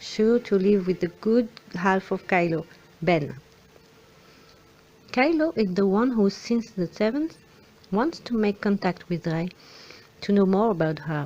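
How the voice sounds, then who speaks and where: Her pitch medium, a woman speaks at a fairly slow pace with lively intonation and long, frequent pauses. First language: French. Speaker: film fan commentator. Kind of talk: film analysis commentary.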